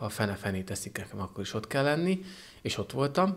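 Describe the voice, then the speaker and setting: Here a man talks at a moderate pace. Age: 30s. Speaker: paratriathlete. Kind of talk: interview. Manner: halting. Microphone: handheld.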